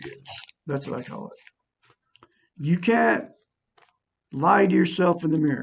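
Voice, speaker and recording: A man talks at a fairly slow pace with vocal fry and a fairly high pitch. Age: 60s. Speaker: self-help video maker. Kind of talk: casual monologue teaching self-esteem.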